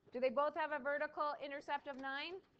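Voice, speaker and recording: A woman speaks at a fairly quick pace. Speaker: math teacher. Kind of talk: classroom lecture.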